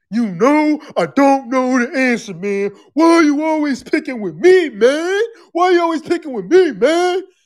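A man's put-on character voice at an extremely high pitch, moderate pace, very clean recording with a silent background.

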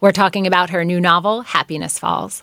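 A woman with an unremarkable speaking voice talks at a fairly low pitch and moderate pace in a very clean recording with a silent background. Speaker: radio host and novelist. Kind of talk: interview.

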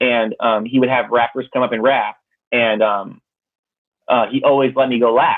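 At a moderate pace, this speaker with an American accent uses monotone, flat intonation and long, frequent pauses. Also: man, medium pitch for a man. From Connecticut. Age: 20s. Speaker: rapper. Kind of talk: casual chat.

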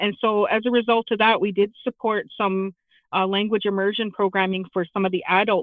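A woman at a medium pitch, talking at a moderate pace. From southwestern Ontario, Canada (London). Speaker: parent and education trustee. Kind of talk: interview. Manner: halting, many fillers.

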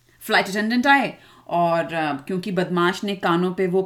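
A woman speaks at a moderate pace. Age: 40s. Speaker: children's podcast host and mother. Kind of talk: storytelling for children. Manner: animated.

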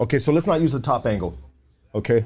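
A man's animated, fairly quick delivery with lively intonation. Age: 40s. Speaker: podcast host. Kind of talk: casual chat. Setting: podcast studio, live stream. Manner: animated, profane slang-heavy.

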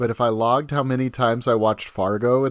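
A man with a normal speaking voice, medium pitch and fairly even intonation. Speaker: podcast co-host; teacher. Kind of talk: casual chat.

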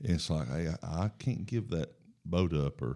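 A man with a Southern US accent speaks at a moderate pace, his very deep, low pitch carrying a dark, mellow tone and lively intonation. The recording is very clean, with a silent background. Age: 50s. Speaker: football coach and mission worker. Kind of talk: casual interview about faith.

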